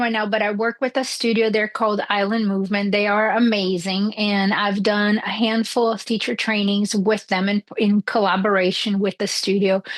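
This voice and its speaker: At a moderate pace and with hardly any pauses, a woman with a fairly high pitch speaks over noticeable background noise. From France. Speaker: yoga teacher and human design guide. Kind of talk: podcast interview.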